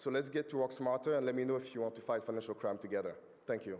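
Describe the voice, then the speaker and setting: Speaking with a French accent at a very fast pace, a man keeps fairly even intonation at a medium pitch. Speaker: startup founder pitching. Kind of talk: pitch presentation.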